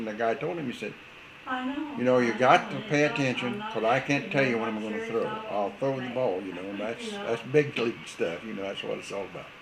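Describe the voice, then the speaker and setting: A man talks at a fairly quick pace, medium in pitch, with lively intonation. Noticeable background noise runs under his voice. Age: 80s+. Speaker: war veteran. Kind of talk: interview answer.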